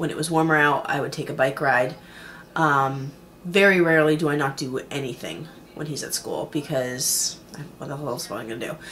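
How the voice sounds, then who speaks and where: The pace is moderate and the pitch varies in an ordinary way. Background noise is noticeable. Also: woman. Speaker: weight-loss surgery vlogger. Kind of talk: video diary. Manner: hesitant, many fillers.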